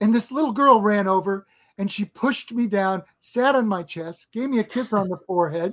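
A woman with an American accent and a normal speaking voice, fairly high in pitch, at a moderate pace with ordinary pitch variation. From Nebraska. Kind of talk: storytelling.

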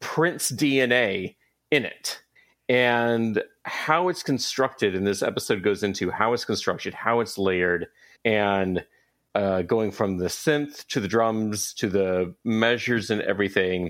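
A man with an American accent and an unremarkable speaking voice, fairly low in pitch, at a fairly slow pace with ordinary pitch variation. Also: very clean recording, silent background. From US South, Atlanta. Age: 30s. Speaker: comic book and entertainment writer. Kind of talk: casual chat.

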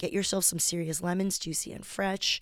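Her intonation stays monotone and flat. The woman talks at a medium pitch. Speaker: stand-up comedian and podcaster. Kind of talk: reading aloud her own blog post. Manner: casual, unedited one take.

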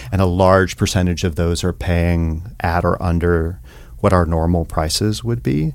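A moderate pace and fairly even intonation in a very clean recording with a silent background. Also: man, very deep, low pitch for a man. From US South, rural East Tennessee. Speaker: theater director and teacher. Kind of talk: casual interview.

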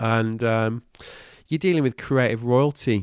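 A man with a Mancunian accent, medium-pitched, at a moderate pace. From Manchester, northern England. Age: 40s. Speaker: podcast host. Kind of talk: casual interview chat. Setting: in-person at an office.

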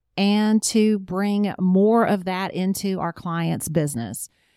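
In a Southern US accent, a woman with a dark, mellow tone and medium pitch speaks at a very slow pace with ordinary pitch variation, the sound dry and close with no echo in a very clean recording over a silent background. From French family, born in Canada, raised partly in Bahamas, Charlotte from 17. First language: French. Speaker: publishing business owner. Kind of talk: interview conversation. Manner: cheerful, laughs often.

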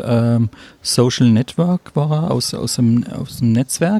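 The sound is dry and close with no echo as a man speaks at a very slow pace, medium in pitch with ordinary variation. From southern Germany, Stuttgart area. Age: 50s. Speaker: vocational trainer. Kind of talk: interview. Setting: cafeteria at a conference.

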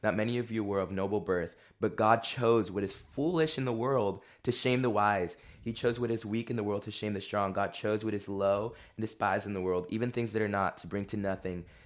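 A plain, everyday voice at a fairly quick pace, with fairly even intonation and a quiet background. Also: man, fairly low pitch for a man. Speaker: guest, former youth group student. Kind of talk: casual interview chat.

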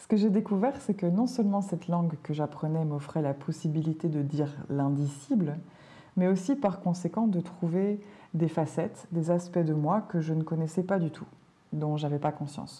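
Fairly low in pitch, a woman sounds somewhat breathy, with a gentle, soothing, dark and mellow tone. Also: ordinary pitch variation, moderate pace. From Belgium. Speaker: language teacher and podcaster. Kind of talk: podcast monologue for learners. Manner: clear and measured.

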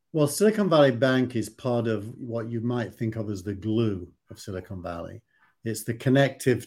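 A man's fairly slow, medium-pitched speech in a Yorkshire accent, on a very clean recording with a silent background. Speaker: tech investor and podcast co-host. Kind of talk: casual discussion. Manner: halting, repeats words.

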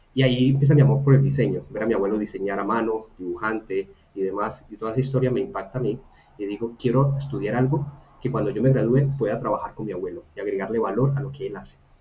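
Talking at a very fast pace, a man with a medium-pitched voice shows ordinary pitch variation over noticeable background noise. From Colombia, Buga (Valle del Cauca). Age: 30s. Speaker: design academy co-founder and product manager. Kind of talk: casual interview chat.

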